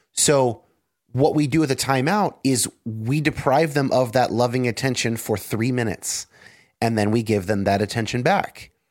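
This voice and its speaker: A man uses a normal speaking voice at a medium pitch and moderate pace. Pitch variation is ordinary, loudness very even, and the recording very clean with a silent background. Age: 30s. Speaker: podcast host. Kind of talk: casual chat.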